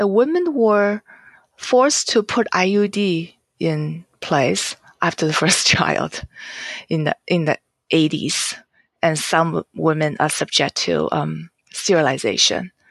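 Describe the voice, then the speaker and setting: Speech comes at a very slow pace in a Chinese accent, with very even loudness. The sound is dry and close, with no echo. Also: woman. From China, Jiangsu province. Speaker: novelist. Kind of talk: interview.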